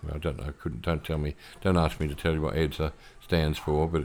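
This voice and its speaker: Very deep, low-pitched male voice in an Australian accent with fairly even intonation. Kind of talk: solo podcast monologue.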